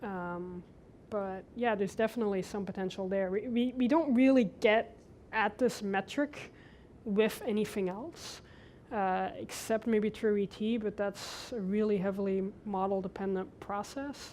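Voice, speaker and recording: In a very clean recording with a silent background, a woman speaks at a fairly slow pace with a medium pitch and ordinary pitch variation. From Belgium, first twelve years. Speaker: scientist, lecture speaker. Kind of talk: Q&A after a lecture.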